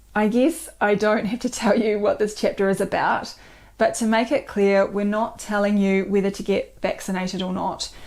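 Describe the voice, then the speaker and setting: A woman with a New Zealand accent, ordinary pitch variation and a moderate pace. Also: medium pitch for a woman, very clean recording, silent background. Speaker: doctor and co-author. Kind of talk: book presentation video.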